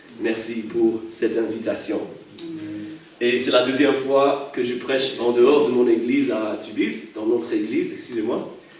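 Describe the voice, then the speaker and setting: A man talks at a fairly slow pace. Noticeable background noise and audible room echo are present. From Hawaii. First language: English (speaking French). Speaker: pastor. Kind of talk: sermon. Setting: church. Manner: halting.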